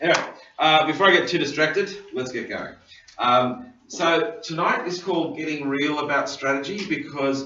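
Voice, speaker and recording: An Australian-accented man talks at a moderate pace with a fairly high pitch and ordinary pitch variation. Audible room echo and noticeable background noise fill the recording. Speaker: governance trainer. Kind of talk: lecture. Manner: halting, many fillers.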